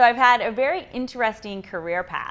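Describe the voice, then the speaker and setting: Against a quiet background, a woman with an American accent and an unremarkable speaking voice talks at a fairly quick pace, with ordinary pitch variation. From US, Idaho (Pocatello). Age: 30s. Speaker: yoga and fitness instructor. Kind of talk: personal interview.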